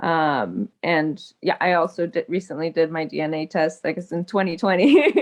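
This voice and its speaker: A woman with a Californian accent at a fairly low pitch, hardly any pauses. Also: ordinary pitch variation, moderate pace. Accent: Californian American English. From Los Angeles, US. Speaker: small-scale farmer and justice activist. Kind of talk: panel discussion.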